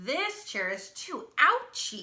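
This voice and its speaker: A woman's put-on character voice. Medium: read story. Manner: fussy, plain-spoken.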